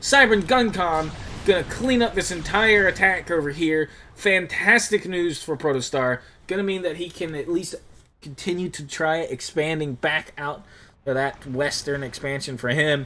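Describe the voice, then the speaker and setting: A man speaks in an animated tone at a fairly high pitch. His pace is moderate, with ordinary pitch variation. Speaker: game caster. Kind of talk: live commentary.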